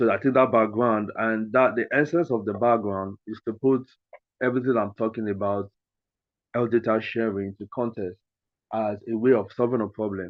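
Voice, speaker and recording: Speaking at a moderate pace, a man uses medium pitch and fairly even intonation. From Nigeria. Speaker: conference speaker, tech ethics consultant. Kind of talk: conference talk. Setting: video call.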